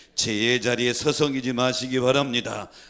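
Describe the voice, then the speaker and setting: The speaker has a strong Chungcheong accent and a moderate pace. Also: man. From Korea, Chungcheong province. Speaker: pastor. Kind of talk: sermon. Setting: church.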